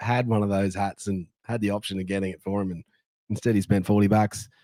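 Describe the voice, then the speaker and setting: Speaking at a very fast pace in an Australian accent, a man is heard in a very clean recording with a silent background and a dry, close sound with no echo. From Sydney, Australia. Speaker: sports fan podcast host. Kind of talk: casual chat. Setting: on location in a Las Vegas hotel. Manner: animated.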